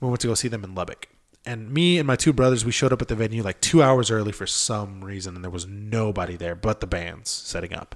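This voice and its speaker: A man speaks very fast, his loudness rising and falling sharply, with ordinary pitch variation. The recording is very clean, with a silent background. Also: fairly low pitch for a man. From Southern California (San Bernardino area). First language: Spanish. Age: 20s. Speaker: drummer. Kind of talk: casual chat.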